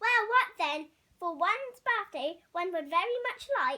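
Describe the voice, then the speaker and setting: A woman puts on a character voice at an extremely high pitch, swinging very widely in pitch at a fairly slow pace. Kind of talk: bedtime story. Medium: read story. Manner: regal, clipped, upper-class.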